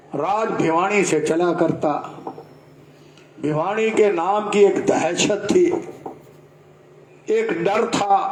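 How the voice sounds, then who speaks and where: A man with a high pitch speaks with ordinary pitch variation and long, frequent pauses. Audible room echo and noticeable background noise are present. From Haryana, Rohtak. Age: 70s. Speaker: political speaker. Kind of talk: public speech.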